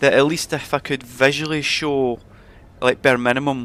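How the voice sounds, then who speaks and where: Here a man talks in a Scottish accent at a moderate pace. His intonation is monotone and flat. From Scotland. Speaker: gaming streamer. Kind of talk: live stream chat.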